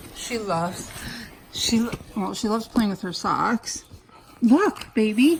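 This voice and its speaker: A woman's fairly high voice at a fairly slow pace, broken by long, frequent pauses, over noticeable background noise. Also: lively intonation. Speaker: reborn doll collector and vlogger. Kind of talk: casual unboxing vlog. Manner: kept quiet, not loud.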